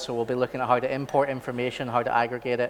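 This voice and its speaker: Pitched in the middle range, a man talks with a Belfast accent. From Northern Ireland, Belfast. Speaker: architect and software trainer. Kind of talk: training workshop presentation. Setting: conference training session. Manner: casual, many fillers.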